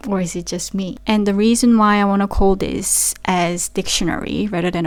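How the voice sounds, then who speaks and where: At a moderate pace and medium pitch, a woman speaks with a Korean accent. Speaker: vlogger and digital marketer. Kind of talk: casual vlog talk to camera. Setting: home office.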